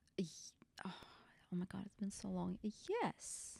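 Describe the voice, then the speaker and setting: A woman with a Russian accent speaks slowly-ish at a fairly slow pace and medium pitch, her dark, mellow tone dry and close with no echo. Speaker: bachata instructor. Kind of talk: podcast interview.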